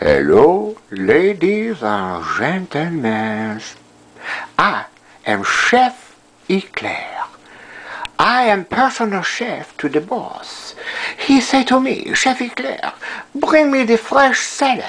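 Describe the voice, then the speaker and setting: A put-on character voice, fairly high in pitch, at a very slow pace with long, frequent pauses. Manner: enthusiastic, theatrical.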